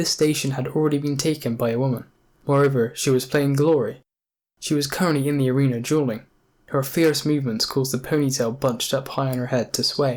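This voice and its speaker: A man with a normal speaking voice talks at a fairly quick pace, his pitch fairly high and his intonation fairly even. The recording is very clean, with a silent background. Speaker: audiobook narrator. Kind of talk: audiobook narration of a novel.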